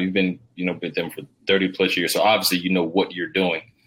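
A man with an American accent speaks at a fairly quick pace in a fairly low pitch, an ordinary speaking voice. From US South, Georgia. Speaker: podcast host. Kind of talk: podcast interview.

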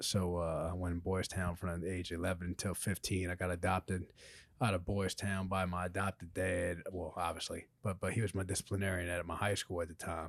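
A man with a very deep, low pitch talks at a fairly quick pace in a monotone, flat intonation. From Louisiana, US. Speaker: former pro wrestler and actor. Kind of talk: casual interview chat. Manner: halting with many fillers.

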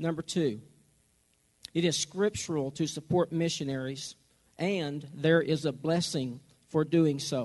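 Speaking with an American accent, a man keeps a fairly slow pace and fairly even intonation. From Oklahoma. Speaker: pastor. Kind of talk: church rally talk on missions giving. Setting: church service with audience.

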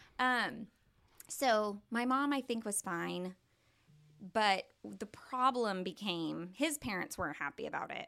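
Very slowly, a woman with an American accent speaks at a fairly high pitch in a bright, sharp tone. Her intonation is lively, and the recording is very clean with a silent background. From Oklahoma, Tulsa area. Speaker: church member sharing her story. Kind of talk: testimony.

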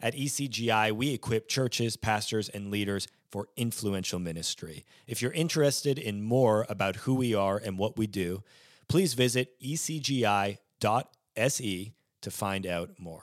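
Recorded very cleanly against a silent background, a man with a normal speaking voice talks at a moderate pace and a fairly low pitch, with ordinary pitch variation. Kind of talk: interview.

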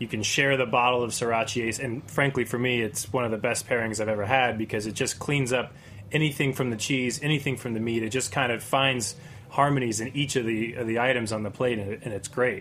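Fairly quick delivery from a man in a plain, everyday voice, medium-pitched with fairly even intonation. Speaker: bar general manager. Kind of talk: casual chat.

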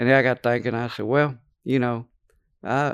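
In a Louisiana accent, the speaker uses ordinary pitch variation over a quiet background, with a dry, close sound and no echo. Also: man. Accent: Louisiana Southern US. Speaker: former prisoner. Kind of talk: testimony. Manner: halting.

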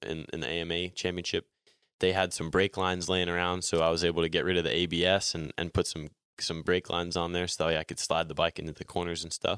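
A man with an American accent, his very deep, low pitch and monotone, flat intonation on a very clean recording with a silent background, dry and close with no echo. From New Jersey, US. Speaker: motorcycle racer. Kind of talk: interview. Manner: many fillers (um, like).

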